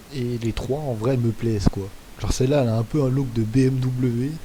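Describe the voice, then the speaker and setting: A man talks at a fairly slow pace against noticeable background noise. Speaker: gaming youtuber. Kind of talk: gameplay commentary.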